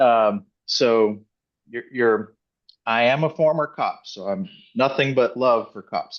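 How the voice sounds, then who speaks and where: A man with a normal speaking voice talks at a medium pitch and a fairly slow pace. His pitch varies in an ordinary way against a quiet background. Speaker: retired federal agent and divorce coach. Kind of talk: presentation.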